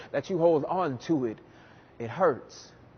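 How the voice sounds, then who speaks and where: Here a man speaks with an American accent. His pitch is fairly high, at a fairly slow pace. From US South, New Orleans. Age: 20s. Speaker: spoken word poet. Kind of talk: spoken word performance. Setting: stage.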